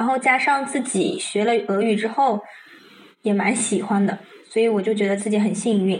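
A woman with an ordinary speaking voice talks at a moderate pace, her fairly high pitch showing ordinary variation and her loudness very even. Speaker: Russian language student. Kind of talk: casual chat. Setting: video call.

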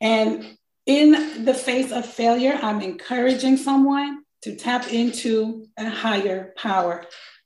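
Audible room echo surrounds a woman as she speaks. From South Florida, Miami (born St. Croix). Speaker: accountant and author. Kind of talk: testimony. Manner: animated.

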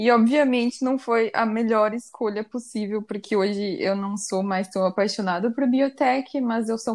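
A plain, everyday voice speaks fairly slowly with fairly even intonation. The recording is very clean, with a silent background. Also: woman. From Brazil, Curitiba. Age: 20s. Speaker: podcast co-host. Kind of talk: casual chat.

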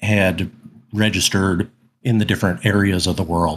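Using a plain, everyday voice, a man speaks at a fairly low pitch with fairly even intonation. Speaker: gamer guest, Living Greyhawk veteran.

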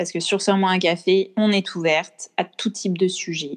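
Speaking with monotone, flat intonation, a woman keeps a medium pitch and a moderate pace. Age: 20s. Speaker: podcast co-host, accountant. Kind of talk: casual chat.

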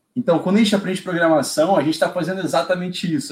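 His voice is pitched high. A man is speaking. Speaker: automation engineer. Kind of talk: casual live stream chat. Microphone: echo on the stream.

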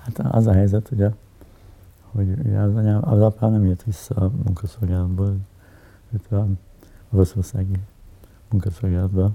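A man speaks at a moderate pace with a fairly low pitch and ordinary pitch variation. He leaves long, frequent pauses. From Hungary, Budapest. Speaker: editor and politician. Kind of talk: interview, personal reminiscence. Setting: at home in his apartment. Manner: halting, many filler sounds and repetitions.

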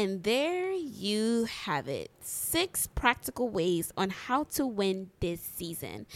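The tone is animated. Pitch swings are very wide. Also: woman. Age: 20s. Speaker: podcast host and entrepreneur. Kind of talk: motivational talk.

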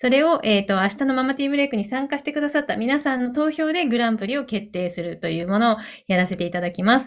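Lively intonation marks this woman's speech, delivered at a very fast pace. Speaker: online show host. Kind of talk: live online talk show. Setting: video call. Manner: polite, formal.

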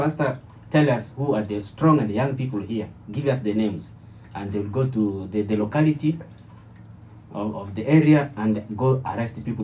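This man talks at a fairly quick pace with lively intonation. His voice is dark and mellow, and somewhat breathy. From DR Congo (Kinshasa). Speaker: church member and former preacher. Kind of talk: testimony. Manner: halting.

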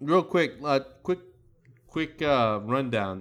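In an American accent, a man speaks at a fairly slow pace with very wide pitch swings on a very clean recording with a silent background. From United States. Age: 30s. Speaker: podcast host. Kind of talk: casual chat.

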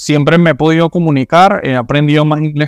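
A man with a normal speaking voice talks at a fairly quick pace. His pitch is fairly high. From Venezuela. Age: 20s. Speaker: immigrant guest. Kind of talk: casual interview chat.

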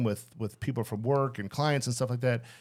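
Words come at a very fast pace with ordinary pitch variation on a very clean recording with a silent background. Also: man. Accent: American. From Chicago area (Skokie). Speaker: accountant. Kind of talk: casual interview.

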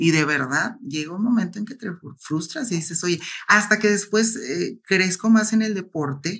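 Lively intonation marks this fairly slow delivery in an ordinary speaking voice. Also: woman, medium pitch for a woman. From Mexico, La Laguna region. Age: 30s. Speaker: bodybuilder. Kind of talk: interview.

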